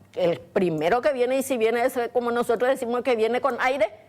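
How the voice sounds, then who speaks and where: At a moderate pace, a woman with a fairly high pitch speaks in a plain, everyday voice. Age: 60s. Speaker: domestic worker, community volunteer. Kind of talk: TV studio interview.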